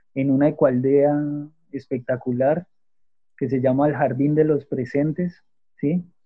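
Speaking fairly slowly, a man uses a fairly high pitch and fairly even intonation. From Colombia, Manizales (Caldas). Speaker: architect, natural building entrepreneur. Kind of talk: interview.

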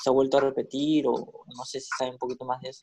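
A man talks in a normal speaking voice, fairly high in pitch with fairly even intonation. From Peru, Callao. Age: 20s. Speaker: podcast co-host. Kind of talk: casual chat.

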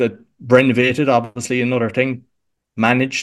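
A man speaks at a moderate pace in an Irish accent. The background is quiet. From Ireland, Cork. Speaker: podcast coach. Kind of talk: interview conversation.

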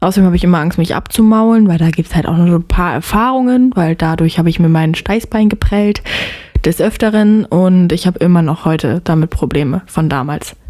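Noticeable background noise runs under this recording. A woman with a fairly low pitch talks at a moderate pace with ordinary pitch variation. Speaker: podcast co-host. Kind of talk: casual chat.

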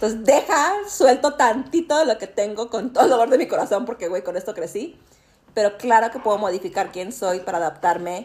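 Over noticeable background noise, a woman with a fairly high pitch talks at a fairly quick pace with very wide pitch swings. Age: 40s. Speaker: podcast host. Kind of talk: casual chat. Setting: dinner at a friend's home.

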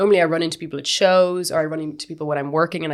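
A woman with an Irish accent talks very fast in a very deep, low pitch, her intonation monotone and flat. The recording is very clean, with a silent background. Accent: Irish (Galway). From West of Ireland, County Galway. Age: 30s. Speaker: dancer and actor. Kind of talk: casual interview chat.

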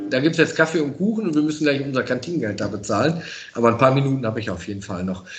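The speaker races along at a very fast pace with very wide pitch swings, while music plays in the background and room echo is audible. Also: man, medium pitch for a man. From Münsterland, western Germany. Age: 40s. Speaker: professional firefighter. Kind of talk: casual interview. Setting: fire station.

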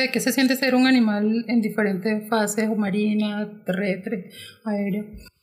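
Fairly high and somewhat breathy, a woman's voice moves at a fairly slow pace. Her intonation stays fairly even. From Colombia, Caribbean coast (Montería, Córdoba). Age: 20s. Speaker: LGBTI activist. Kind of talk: podcast interview.

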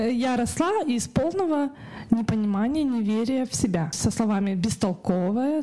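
Noticeable background noise accompanies a woman who speaks at a fairly quick pace with very wide pitch swings. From Kazakhstan, Karaganda. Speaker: artist and illustrator. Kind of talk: interview. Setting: studio.

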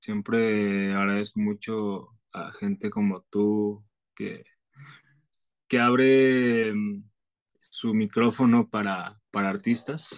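A man at a medium pitch, in a dry, close sound with no echo. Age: 20s. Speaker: singer-songwriter. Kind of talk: interview.

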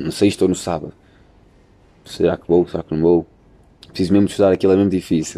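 Pausing long and often, a man with a European Portuguese accent talks at a very fast pace in a very deep, low voice with a dark, mellow tone. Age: 20s. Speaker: university student podcaster. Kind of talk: casual chat. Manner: animated.

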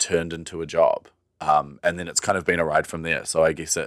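A man speaks with a New Zealand accent in a monotone, flat intonation. The very clean recording has a silent background and a dry, close sound with no echo. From New Zealand, Wellington. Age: 20s. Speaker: pride festival director. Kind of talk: casual interview chat.

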